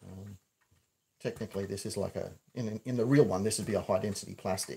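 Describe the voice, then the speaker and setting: Talking at a very fast pace, a man with a fairly low pitch sounds somewhat breathy, his intonation fairly even. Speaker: prop maker. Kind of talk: livestream tutorial. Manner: mumbling.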